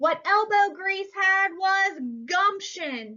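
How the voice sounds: A woman speaks at a slow pace in an extremely high pitch. Her tone is bright and sharp, her intonation lively.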